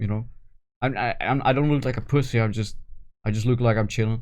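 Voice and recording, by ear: Talking at a very fast pace against a quiet background, a man keeps a medium pitch and fairly even intonation.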